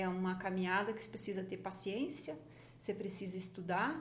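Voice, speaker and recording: Audible room echo surrounds the voice of a woman talking. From Paraná, Brazil. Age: 50s. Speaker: journalist and magazine founder. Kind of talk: podcast interview.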